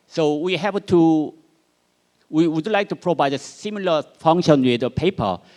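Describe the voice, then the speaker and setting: A man talks with a Korean accent. His pitch is fairly high. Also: dry, close sound with no echo. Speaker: researcher. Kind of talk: conference presentation. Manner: halting.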